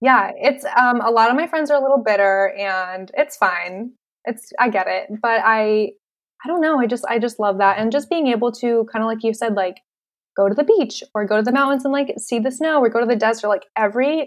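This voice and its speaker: In an American accent, a woman with an ordinary speaking voice talks at a moderate pace and fairly high pitch, with ordinary pitch variation. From Western Massachusetts, US. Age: 20s. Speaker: graphic designer and entrepreneur. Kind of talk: casual interview.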